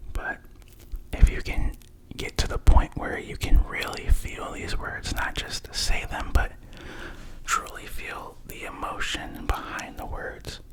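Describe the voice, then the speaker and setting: Whispering at a very slow pace amid noticeable background noise. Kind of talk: ASMR positive affirmations, soft-spoken talk to camera. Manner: soft-spoken, whispering; casual, friendly, chatty.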